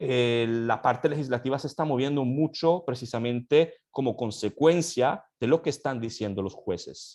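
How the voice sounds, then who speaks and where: At a moderate pace, a man with an Italian accent talks in a medium pitch with ordinary pitch variation. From Italy. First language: Italian (speaking Spanish). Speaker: law academic. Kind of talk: panel discussion. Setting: online session. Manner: halting, many fillers.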